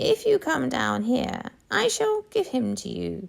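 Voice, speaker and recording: A raspy, robotic put-on character voice at a fairly slow pace. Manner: sweetly coaxing, sinister.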